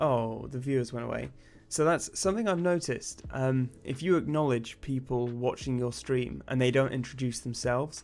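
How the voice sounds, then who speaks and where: In a very clean recording with a silent background, a man with a British accent speaks at a medium pitch with ordinary pitch variation. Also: moderate pace. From England. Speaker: indie game developer streamer. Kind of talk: live stream chat while coding. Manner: casual, halting with many fillers.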